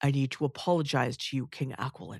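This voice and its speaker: In a put-on character voice, the speaker talks fairly quickly with a raspy, low-to-middle pitch. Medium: read story. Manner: formal, earnest.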